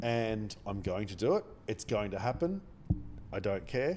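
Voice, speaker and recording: Soft-spoken and fairly slow, a man with an Australian accent talks at a fairly low pitch. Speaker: day trader streamer. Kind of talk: live trading stream commentary. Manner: quiet, soft-spoken. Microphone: mic very close.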